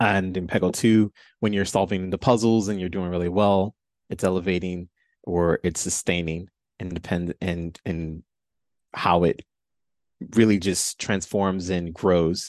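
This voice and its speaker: With a British accent, a man speaks at a fairly slow pace in a very deep, low voice with fairly even intonation and long, frequent pauses, the sound dry and close with no echo against a quiet background. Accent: British-tinged. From Chicago. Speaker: video game composer. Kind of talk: casual podcast interview.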